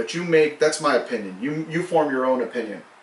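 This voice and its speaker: A man's fairly high voice with audible room echo. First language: Spanish. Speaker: community activist. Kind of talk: prepared address to community.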